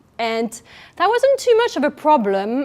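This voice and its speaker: A woman with a French accent speaks with ordinary pitch variation on a very clean recording with a silent background. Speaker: nutritional therapist. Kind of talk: public speech.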